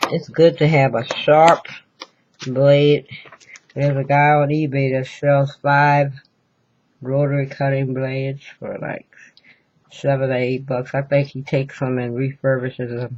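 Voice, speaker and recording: Long, frequent pauses at a fairly slow pace. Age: 60s. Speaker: crafter. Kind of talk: tutorial. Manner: casual.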